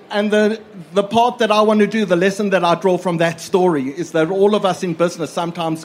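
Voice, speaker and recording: Noticeable background noise accompanies a man whose intonation stays fairly even. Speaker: audience member asking a question. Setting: live event with audience.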